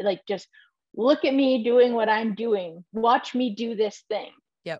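A woman's fairly high voice at a moderate pace, a plain, everyday voice. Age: 30s. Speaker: maker and content creator. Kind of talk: casual chat. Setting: video call from her barn office.

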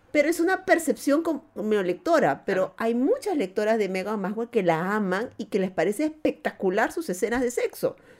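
Recorded very cleanly against a silent background, a woman speaks at a moderate pace with very wide pitch swings. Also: fairly high pitch for a woman, hardly any pauses. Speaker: podcast co-host. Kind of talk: casual chat.

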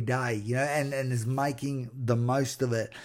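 A dark, mellow tone carries an Australian accent at a fairly slow pace. The recording is very clean with a silent background. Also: man. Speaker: podcast host, former boxer. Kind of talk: motivational monologue. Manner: animated.

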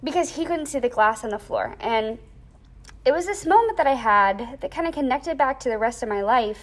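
A woman's high voice at a fairly quick pace, with very wide pitch swings. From US, raised in Thailand and Georgia. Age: 20s. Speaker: dance and English teacher. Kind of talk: casual interview.

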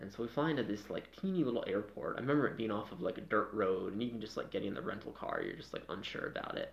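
A man talks at a very fast pace with hardly any pauses. His medium-pitched voice has lively intonation. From Maine, New England (Freedom). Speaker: rock climber. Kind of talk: casual chat.

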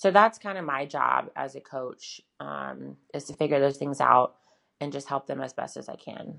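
A woman with an American accent speaks at a moderate pace. Her loudness swings widely. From US South, Charlotte, North Carolina. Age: 20s. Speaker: bikini competitor and prep coach. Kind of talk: casual interview.

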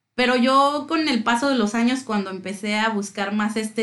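Noticeable background noise sits behind a woman with a fairly high pitch. She talks at a moderate pace with ordinary pitch variation. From Mexico City. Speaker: music fan guest. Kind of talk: casual chat.

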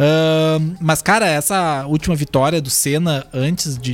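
Music plays in the background. Over it, a man talks at a fairly high pitch. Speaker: radio host. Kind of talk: casual chat.

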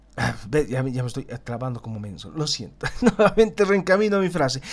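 His pitch rises and falls very widely. The man's delivery is fairly slow. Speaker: political analysis podcaster; teacher. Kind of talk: solo political commentary. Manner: stumbles over words at times; tense, somewhat dramatic narration.

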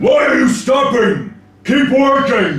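Shouting in a put-on character voice at an extremely high pitch, a man speaks fairly slowly with a slight echo. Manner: commanding, shouting.

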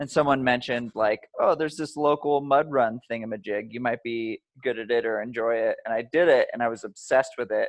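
Here is an ordinary speaking voice: a man at medium pitch with fairly even intonation. He keeps a fairly quick pace with hardly any pauses against a quiet background. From Montana, US. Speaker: obstacle course racer and endurance coach. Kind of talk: casual chat. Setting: outdoors.

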